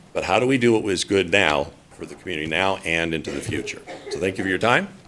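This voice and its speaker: A man speaks at a very fast pace in a very deep, low voice. His pitch varies in an ordinary way, with noticeable background noise. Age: 60s. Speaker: public commenter. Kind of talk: public testimony at council meeting. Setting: city council meeting.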